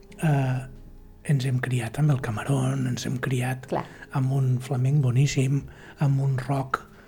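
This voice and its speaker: Over noticeable background noise, a man speaks at a very slow pace and medium pitch, his intonation monotone and flat, with long, frequent pauses. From Catalonia, Osona (Manlleu). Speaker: historian and musician. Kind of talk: interview. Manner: hesitant, many fillers.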